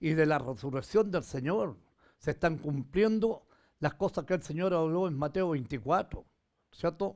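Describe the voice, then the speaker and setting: Lively intonation and a fairly slow pace come through in a very clean recording with a silent background. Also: man. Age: 80s+. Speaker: pastor. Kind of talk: sermon. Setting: livestream from home.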